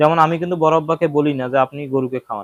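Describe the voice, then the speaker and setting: An unremarkable speaking voice from a man, fairly high in pitch, with ordinary pitch variation and a dry, close sound with no echo. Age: 20s. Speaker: cattle farmer and video creator. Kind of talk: casual vlog talk to viewers.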